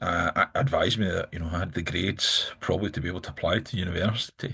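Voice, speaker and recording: A man's very deep, low voice with a bright, sharp tone, ordinary pitch variation and a very fast pace. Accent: Glaswegian. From Scotland, Glasgow. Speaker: politician. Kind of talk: interview. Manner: halting, many fillers and repeats.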